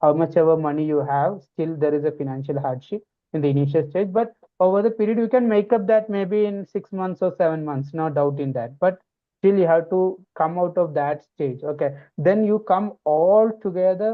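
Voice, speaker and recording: A man with an Indian accent speaks at a moderate pace. His pitch is high, with ordinary variation. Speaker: pharmacy researcher and educator. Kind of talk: podcast interview.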